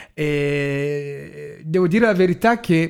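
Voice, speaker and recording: Using an ordinary speaking voice, a man speaks with fairly high pitch and ordinary pitch variation. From Congo. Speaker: activist, march organizer. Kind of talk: radio interview. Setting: studio.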